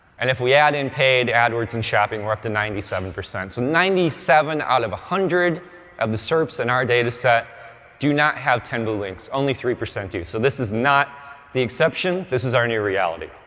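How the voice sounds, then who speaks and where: With music playing behind him, a man talks in a lively, up-and-down intonation. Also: medium pitch for a man, fairly quick pace. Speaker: conference speaker on search marketing. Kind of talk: conference talk. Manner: fast.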